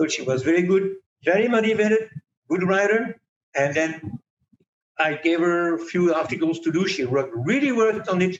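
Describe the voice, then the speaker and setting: Speaking in a French accent at a moderate pace, a man uses a high pitch with lively intonation and very even loudness. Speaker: magazine editor. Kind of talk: interview. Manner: halting, with repetitions.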